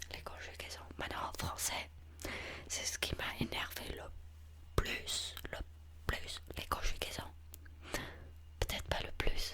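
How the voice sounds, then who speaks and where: A man whispers at a very slow pace, with long, frequent pauses, big swings in loudness and noticeable background noise. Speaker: ASMR creator playing an English teacher. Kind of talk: ASMR language-class roleplay.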